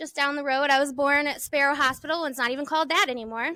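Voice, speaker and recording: An American-accented woman speaks in a raised, projected voice. Her pitch is high and her tone bright and sharp. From Michigan. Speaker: podcast host and placemaking consultant. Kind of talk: casual chat. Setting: recorded on location at a stadium.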